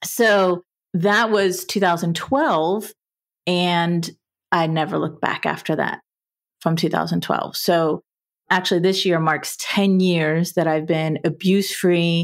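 Her pitch is fairly low, and this woman speaks at a fairly slow pace with fairly even intonation. Her loudness stays very even in a very clean recording with a silent background. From US South, South Florida. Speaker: divorce coach. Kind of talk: interview, personal story.

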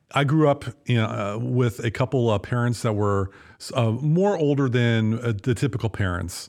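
A man with an American accent speaks at medium pitch with ordinary pitch variation. His is an unremarkable speaking voice. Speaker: podcast co-host. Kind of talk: casual chat. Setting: studio.

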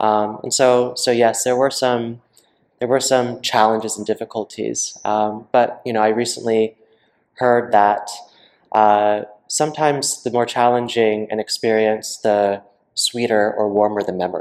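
Monotone and flat in intonation, a man with a medium pitch speaks at a fairly slow pace. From US South. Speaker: skincare entrepreneur, former pop singer. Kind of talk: interview. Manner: halting.

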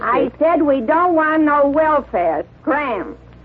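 Putting on a gruff character voice, a woman talks at a very slow pace and a high pitch. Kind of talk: 1940s radio acting. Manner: gruff, slangy, rough.

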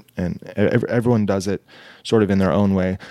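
A man's fairly low voice with fairly even intonation, in a very clean recording with a silent background. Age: 30s. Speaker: artist and art teacher. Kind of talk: casual chat. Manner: halting, many fillers and repeats.

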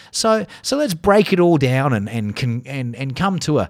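The voice has an animated tone, its pitch swinging very widely. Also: man. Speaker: podcast host. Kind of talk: angry rant, sarcastic. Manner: sarcastic, heated, profane; animated, mocking.

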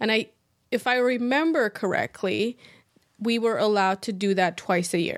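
A woman's fairly high voice with a Persian accent, at a moderate pace, with ordinary pitch variation and very even loudness, on a very clean recording with a silent background. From Iran. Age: 30s. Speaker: structural engineer. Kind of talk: interview.

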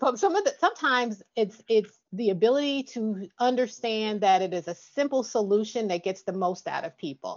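Lively intonation in an unremarkable speaking voice, moderately paced. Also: woman, fairly high pitch for a woman. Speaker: podcast host. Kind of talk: interview conversation.

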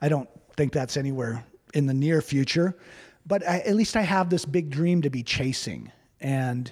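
A man with an unremarkable speaking voice, fairly high pitch, ordinary pitch variation and a moderate pace. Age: 50s. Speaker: distillery owner. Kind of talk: interview.

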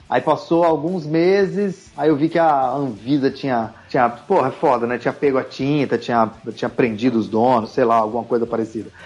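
With hardly any pauses and very even loudness, a man talks at a medium pitch in a normal speaking voice. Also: ordinary pitch variation, moderate pace. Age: 40s. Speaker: tattoo artist. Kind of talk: casual chat.

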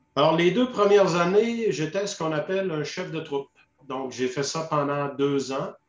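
A man at a moderate pace and fairly high pitch, with ordinary pitch variation. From Quebec, Saguenay-Lac-Saint-Jean. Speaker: retired army officer, peacekeeping veteran. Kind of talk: interview testimony. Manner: hesitant, many fillers and repetitions.

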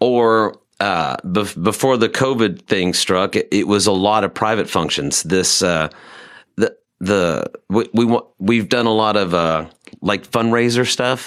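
A man with a normal speaking voice, pitched fairly low, talks at a fairly slow pace with ordinary pitch variation. His loudness stays very even, and the recording is very clean with a silent background. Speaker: musician. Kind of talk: casual interview chat. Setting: studio.

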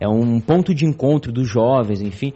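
His pitch swinging very widely, a man speaks. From interior of São Paulo state, Brazil. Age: 20s. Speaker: podcaster. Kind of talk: casual chat. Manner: halting.

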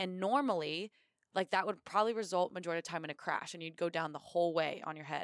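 An ordinary speaking voice from a woman with an American accent, fairly low in pitch with ordinary pitch variation, dry and close with no echo on a very clean recording with a silent background. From Indiana, US Midwest. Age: 20s. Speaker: Marine officer and bobsledder. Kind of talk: interview.

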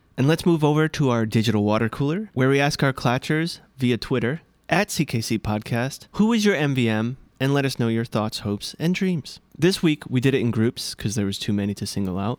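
A man with a normal speaking voice at a medium pitch, lively intonation and hardly any pauses, dry and close with no echo, on a very clean recording with a silent background. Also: fairly quick pace. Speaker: podcast host. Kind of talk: casual podcast episode review.

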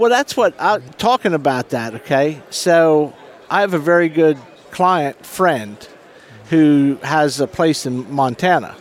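A man's unremarkable speaking voice, fairly high in pitch, with lively intonation and an American accent. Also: fairly slow pace. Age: 50s. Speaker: fishing guide. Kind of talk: casual interview.

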